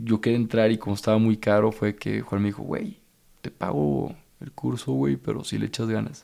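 Here a man speaks with a fairly low pitch and a dark, mellow tone. His pitch swings very widely. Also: moderate pace. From Mexico, Torreón. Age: 30s. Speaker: motivational speaker and author. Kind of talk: casual chat.

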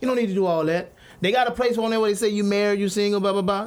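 This man speaks in a high voice. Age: 30s. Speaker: radio show guest. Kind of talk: casual chat.

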